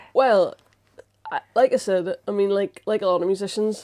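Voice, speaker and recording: A woman speaks in a Northern Irish accent at a fairly quick pace. Her tone is dark and mellow. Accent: Strabane. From Northern Ireland, Strabane. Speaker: musical comedian and science communicator. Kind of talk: casual chat. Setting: studio interview on a sofa.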